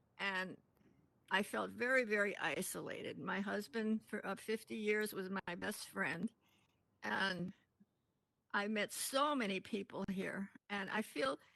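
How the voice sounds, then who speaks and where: A woman speaks fairly slowly with long, frequent pauses, her bright, sharp tone marked by vocal fry. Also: medium pitch for a woman, ordinary pitch variation. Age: 80s+. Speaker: community member. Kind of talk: testimony.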